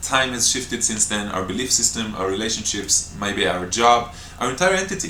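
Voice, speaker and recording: In an Israeli accent, a man speaks at a moderate pace and medium pitch, with audible room echo and noticeable background noise. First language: Hebrew. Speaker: breatharian retreat teacher. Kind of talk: Q&A talk to camera. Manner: spontaneous, with hesitations.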